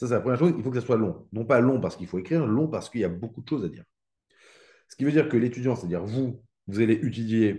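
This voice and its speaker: A man speaks in a dark, mellow tone, his loudness swinging widely against a quiet background. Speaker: economics teacher. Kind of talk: live online exam-prep class. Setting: live stream with chat. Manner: fast.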